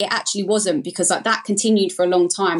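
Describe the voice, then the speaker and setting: Talking at a very fast pace, a woman with an Essex accent speaks at a medium pitch. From Essex, England. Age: 30s. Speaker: breast implant illness survivor. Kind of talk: casual interview, personal story.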